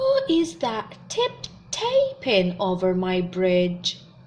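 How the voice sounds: A woman's put-on character voice, growling at a very slow pace over clear background noise.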